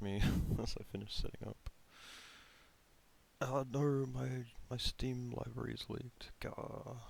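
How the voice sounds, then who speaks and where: A mumbling man. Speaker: game developer streamer. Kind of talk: live stream casual talk. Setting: live stream. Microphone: too quiet.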